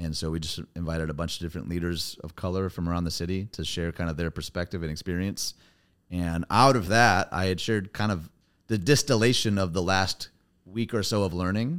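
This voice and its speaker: On a very clean recording with a silent background, a man speaks at a fairly quick pace in a very deep, low pitch. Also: ordinary pitch variation. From US Midwest. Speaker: pastor. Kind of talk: casual interview chat.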